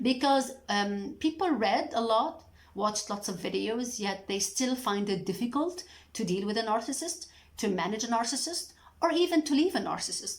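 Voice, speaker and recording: A woman with a Lebanese accent speaks at a moderate pace in a fairly high voice, and her pitch swings very widely. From Lebanon. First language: Arabic. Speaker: mental health educator, YouTuber. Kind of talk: educational talk to camera. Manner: halting.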